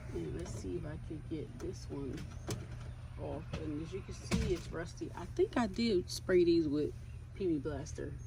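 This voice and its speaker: Noticeable background noise sits under speech that proceeds at a fairly slow pace. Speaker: DIY vlogger restoring a travel trailer. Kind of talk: casual DIY vlog narration. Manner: loud.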